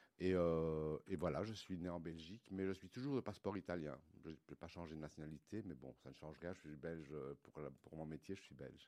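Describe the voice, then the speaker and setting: A man with a very deep, low pitch talks at a fairly quick pace, with ordinary pitch variation and big swings in loudness. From Belgium, Liège (Wallonia). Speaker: milliner. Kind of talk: interview. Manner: halting, repeats words.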